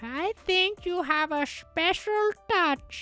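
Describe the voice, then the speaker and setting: A put-on character voice with a female-sounding quality, pitched extremely high and spoken at a very slow pace over faint background music. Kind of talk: put-on old lady voice. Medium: virtual streamer. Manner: warm, friendly.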